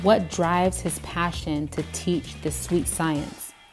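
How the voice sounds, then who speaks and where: A woman's voice over music in the background. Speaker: interviewer. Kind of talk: channel intro and interview questions.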